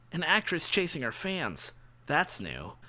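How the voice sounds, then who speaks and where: A man adopts a put-on character voice, pitched fairly high and delivered at a fairly slow pace. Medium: read story. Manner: joking, jaunty.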